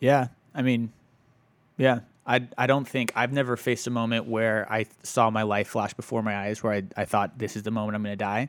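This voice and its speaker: On a very clean recording with a silent background, a man with an ordinary speaking voice talks fairly quickly at medium pitch, his intonation fairly even. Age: 30s. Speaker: photojournalist. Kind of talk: casual chat.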